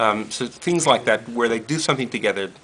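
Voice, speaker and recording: Noticeable background noise around a man with an American accent, his pace moderate. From US, Brooklyn, New York. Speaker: rabbi and interfaith educator. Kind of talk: casual interview. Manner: halting, many fillers.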